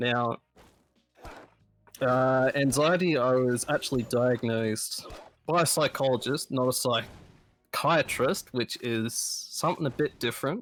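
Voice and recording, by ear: Speaking at a fairly slow pace, a man with a nasal, fairly bright voice at medium pitch shows ordinary pitch variation.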